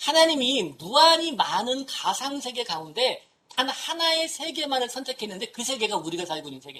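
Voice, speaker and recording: Big swings in loudness and very wide pitch swings. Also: woman, high pitch for a woman. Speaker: humanities professor. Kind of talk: lecture. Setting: talk to an audience of professors. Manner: fast.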